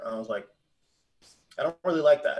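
This is a man speaking with an American accent. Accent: others say he talks proper. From Pennsylvania, Poconos. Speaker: streamer and gamer. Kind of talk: casual chat.

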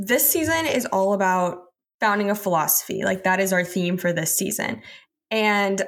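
A woman with an ordinary speaking voice, medium in pitch, speaks at a moderate pace with ordinary pitch variation in a very clean recording with a silent background. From Texas. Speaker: podcast co-host, student. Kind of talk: interview.

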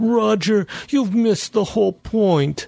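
At a fairly slow pace, someone performs in a put-on character voice. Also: man, high pitch for a man. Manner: earnest, pleading.

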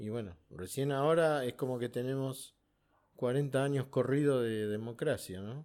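An unremarkable speaking voice from a man at medium pitch, fairly slow, with ordinary pitch variation, in a very clean recording with a silent background. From Argentina, Buenos Aires. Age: 60s. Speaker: war veteran. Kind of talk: interview.

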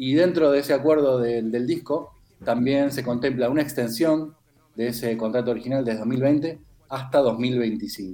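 This is a normal speaking voice, moving at a moderate pace with ordinary pitch variation. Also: man, medium pitch for a man. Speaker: music columnist. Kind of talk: radio music column.

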